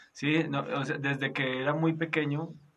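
Speaking fairly slowly, a man keeps a monotone, flat intonation. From Colombia, Boyacá. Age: 30s. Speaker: pastor. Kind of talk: interview. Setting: recorded at night.

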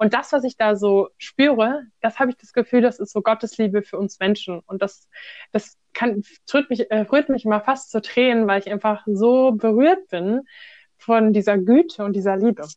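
With a normal speaking voice, a woman talks at a moderate pace and a fairly high pitch, with ordinary pitch variation. Her loudness swings widely, and the sound is dry and close with no echo. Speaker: volunteer with refugees. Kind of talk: casual interview.

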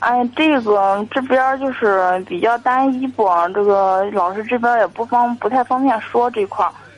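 Talking at a fairly slow pace with hardly any pauses, a woman uses a fairly high pitch and ordinary pitch variation. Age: 20s. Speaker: caller, young saleswoman. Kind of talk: call-in advice chat. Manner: hesitant, many fillers.

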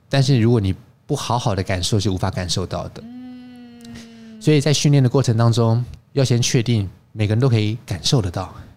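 Here a man speaks fairly quickly in a normal speaking voice. His pitch is medium, with ordinary variation. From Taiwan. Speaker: wine expert and teacher. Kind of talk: interview.

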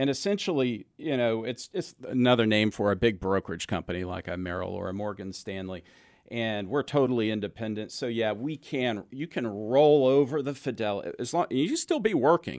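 A man's normal speaking voice with an American accent, medium pitch, lively intonation, moderate pace and hardly any pauses. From Texas. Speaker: financial advisor, radio show host. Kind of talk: radio call-in show, explanatory talk. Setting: radio studio.

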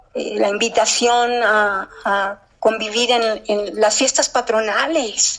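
A woman with fairly high pitch talks at a very slow pace and very even loudness. Noticeable background noise is present. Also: fairly even intonation. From US Midwest and South (Kansas City, Memphis). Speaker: poet. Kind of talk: interview; poetry reading.

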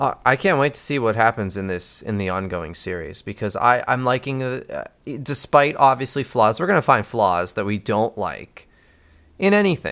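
A man with an American accent speaks at a medium pitch and moderate pace, with very wide pitch swings, on a very clean recording with a silent background. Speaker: podcast host. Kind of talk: casual chat.

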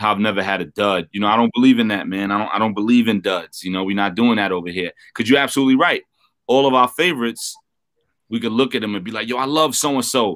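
A man talks at a very fast pace with a New York accent. His pitch variation is ordinary. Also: medium pitch for a man. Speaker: rapper. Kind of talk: interview. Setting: video call.

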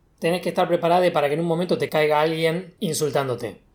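Fairly quick male speech in a very clean recording, the background silent. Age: 20s. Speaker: podcast host and video game developer. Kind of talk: casual chat.

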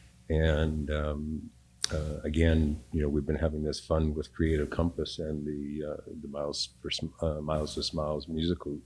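A man speaks in a very deep, low voice that is somewhat breathy. His intonation is flat and monotone, and his pace is moderate. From Canada, Vancouver. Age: 60s. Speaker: retired community theatre performer. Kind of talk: casual chat. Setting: studio.

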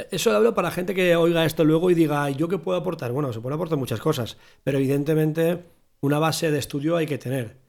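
A man's fairly high voice at a very fast pace, ordinary pitch variation, on a very clean recording with a silent background. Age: 40s. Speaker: podcast host, drummer. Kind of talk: casual chat.

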